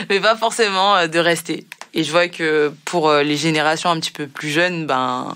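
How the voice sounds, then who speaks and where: Bright and sharp in tone, a woman speaks at a very deep, low pitch. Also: ordinary pitch variation, moderate pace. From Guadeloupe. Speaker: podcast host. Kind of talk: podcast interview.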